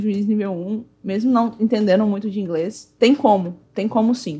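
Somewhat breathy, a woman speaks at a moderate pace and fairly high pitch with ordinary pitch variation. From Brazil, Goiânia (Centre-West). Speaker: Magic card game judge and English teacher. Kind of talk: casual chat.

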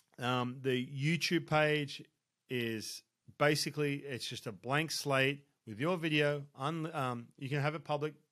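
Speaking with an Australian accent, a man uses a fairly high pitch at a fairly slow pace. The recording is very clean with a silent background. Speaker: baseball coach and podcast host. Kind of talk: solo podcast advice talk. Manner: animated.

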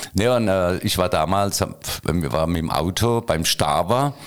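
Here is a man talking. His intonation is lively. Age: 60s. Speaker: retired mayor. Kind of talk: casual interview.

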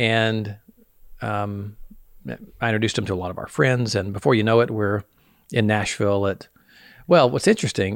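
A fairly low-pitched man with a Southern US accent, at a moderate pace with ordinary pitch variation, on a very clean recording with a silent background. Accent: Southern US, mild. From US South. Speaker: podcast host. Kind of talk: casual interview chat.

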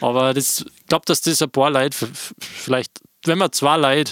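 A man with an unremarkable speaking voice and ordinary pitch variation talks at a fairly quick pace, the sound dry and close with no echo. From Austria. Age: 20s. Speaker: DJ and podcast host. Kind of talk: casual chat.

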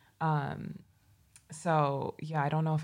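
A woman speaks with a Midwestern accent. Her voice is somewhat breathy, with monotone, flat intonation. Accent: American (Midwest). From US Midwest, Chicago. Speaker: grad student, beauty Instagrammer. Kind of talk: casual chat.

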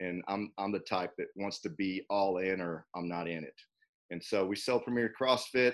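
A man with an ordinary speaking voice talks at a moderate pace, fairly low in pitch, with ordinary pitch variation. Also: quiet background. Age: 40s. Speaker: personal trainer and gym owner. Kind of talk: casual interview.

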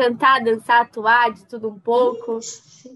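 A woman's high-pitched voice, bright and sharp in tone, at a fairly slow pace. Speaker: student radio host. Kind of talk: interview.

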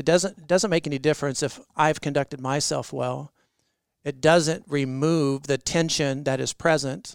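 On a very clean recording with a silent background, a man with a fairly high pitch uses an ordinary speaking voice, fairly even intonation and a fairly slow pace. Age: 40s. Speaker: pastor. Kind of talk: interview.

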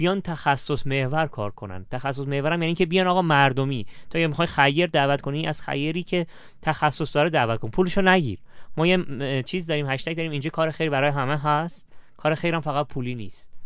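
The man talks at a very fast pace with ordinary pitch variation. The recording is very clean, with a silent background. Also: fairly high pitch for a man. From Iran, Shiraz. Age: 30s. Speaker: charity manager. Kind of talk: casual interview.

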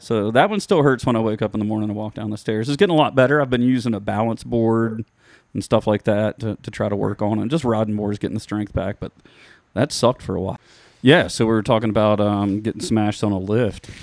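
In a very clean recording with a silent background and a dry, close sound with no echo, a man talks at a very fast pace with fairly low pitch. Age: 40s. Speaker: podcast host. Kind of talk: casual chat.

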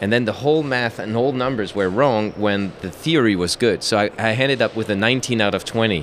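Fairly quick speech from a man with a French accent, medium pitch, ordinary pitch variation, hardly any pauses and very even loudness, over noticeable background noise. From France. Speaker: sport shooting champion. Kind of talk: casual interview. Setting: trade fair booth.

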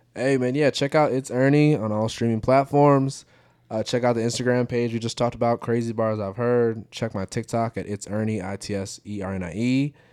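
An ordinary speaking voice from a man with an American accent and medium pitch, at a fairly quick pace, with a dry, close sound with no echo and a very clean recording with a silent background. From Michigan, Detroit. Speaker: rapper. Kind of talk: casual chat.

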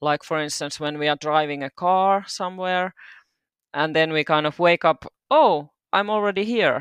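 A woman with a Finnish accent and a fairly low pitch speaks with ordinary pitch variation, recorded in a dry, close sound with no echo against a quiet background. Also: moderate pace. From Finland, Turku. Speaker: doula and hypnobirthing practitioner. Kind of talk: casual interview.

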